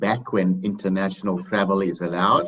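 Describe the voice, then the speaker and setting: A man speaks with a South African accent. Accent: South African, noticeable. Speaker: finance speaker, accountant. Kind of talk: webinar presentation. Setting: video call.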